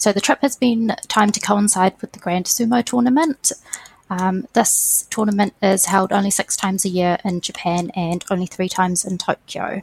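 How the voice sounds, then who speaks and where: A woman with a New Zealand accent talks at a moderate pace. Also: medium pitch for a woman, ordinary pitch variation, dry, close sound with no echo. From New Zealand (Waiuku). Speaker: education program coordinator. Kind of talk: interview.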